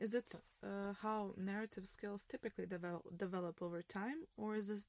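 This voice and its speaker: A woman speaks in a normal speaking voice at a medium pitch and a moderate pace, with fairly even intonation. The sound is dry and close, with no echo. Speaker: podcast host. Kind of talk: interview, conversational. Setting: studio in Berlin, filmed.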